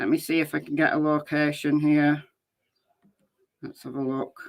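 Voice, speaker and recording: A woman's bright, sharp tone. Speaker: true crime YouTuber. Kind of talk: live stream commentary. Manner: loud; casual, chatty.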